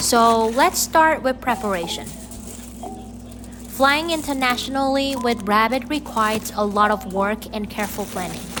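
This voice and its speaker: A woman's fairly high voice with ordinary pitch variation over noticeable background noise. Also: moderate pace. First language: Vietnamese. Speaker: pet vlogger. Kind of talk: vlog narration.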